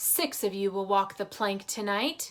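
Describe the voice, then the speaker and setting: A woman uses a put-on character voice. It sits at a medium pitch and moves at a moderate pace. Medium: read story. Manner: barking orders.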